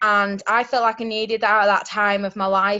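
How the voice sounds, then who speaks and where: Speaking in a Yorkshire accent, a woman keeps a medium pitch and a moderate pace. Her delivery is monotone and flat. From Yorkshire, England. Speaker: network marketing distributor. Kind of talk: testimony.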